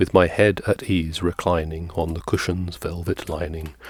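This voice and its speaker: A man speaks at a fairly slow pace in a very deep, low pitch. His voice is somewhat breathy. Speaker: ASMR reader. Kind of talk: ASMR poetry reading.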